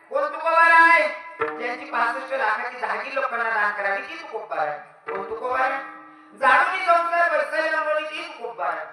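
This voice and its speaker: Over background music, a man with a Khandesh accent projects a raised voice at an extremely high pitch with lively intonation. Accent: Ahirani dialect. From Khandesh, Maharashtra. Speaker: kirtan performer. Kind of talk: devotional sermon with comedy.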